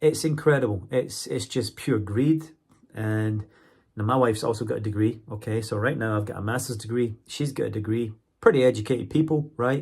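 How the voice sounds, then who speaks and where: A man with a Scottish accent speaks at a medium pitch and a fairly quick pace, somewhat breathy and with ordinary pitch variation. The recording is very clean, with a silent background. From Scotland. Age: 40s. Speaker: university English teacher and vlogger. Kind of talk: casual monologue vlog.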